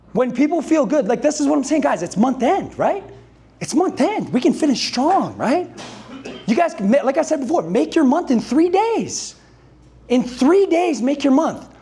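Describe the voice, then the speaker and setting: A man speaks loudly at an extremely high pitch with lively intonation. Noticeable background noise sits behind him. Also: moderate pace. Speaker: sales coach. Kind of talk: motivational talk to a live audience. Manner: high-energy.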